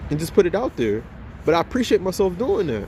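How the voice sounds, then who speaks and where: A man's high-pitched voice with a dark, mellow tone, at a fairly quick pace. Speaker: motivational YouTuber. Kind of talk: motivational vlog monologue. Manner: halting, repetitive; casual, energetic.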